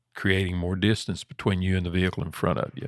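A man with a Southern US accent speaks in a fairly low pitch, recorded very cleanly against a silent background. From US South. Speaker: trucking safety director. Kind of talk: casual chat.

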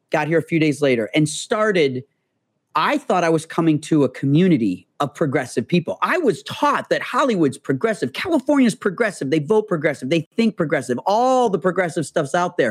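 Speaking with an American accent, a man has a fairly high pitch, lively intonation and very even loudness, recorded dry and close with no echo and very clean, with a silent background. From US Midwest. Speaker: tech entrepreneur. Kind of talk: casual interview conversation. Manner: fast talker.

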